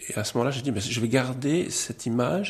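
A man talks in a somewhat breathy voice at medium pitch. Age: 60s. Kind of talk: testimony.

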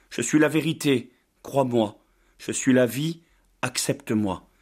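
A man speaks at a fairly slow pace with ordinary pitch variation, recorded very cleanly against a silent background. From Brittany, France. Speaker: pastor. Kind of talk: sermon; testimony.

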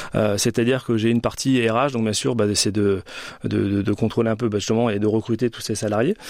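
A man with an unremarkable speaking voice talks at a medium pitch. His pace is fairly quick and his intonation fairly even. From France, Orléans. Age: 40s. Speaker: rugby club director. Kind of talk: radio interview. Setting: studio.

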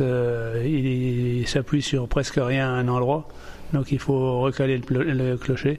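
A man with a medium-pitched voice speaks at a very slow pace in a flat, monotone delivery. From Champagne, Marne, northeastern France. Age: 60s. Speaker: former village mayor. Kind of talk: on-site interview, guided visit. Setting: inside a village church.

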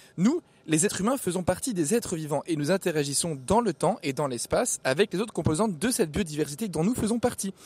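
Lively intonation marks this man's high-pitched voice, which moves at a fairly quick pace. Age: 20s. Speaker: radio columnist. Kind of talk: scripted narration.

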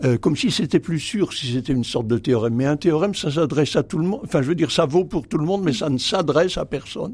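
The man talks at a very fast pace with hardly any pauses. His fairly high pitch carries lively intonation. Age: 80s+. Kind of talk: radio interview. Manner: halting, many repetitions and hesitations.

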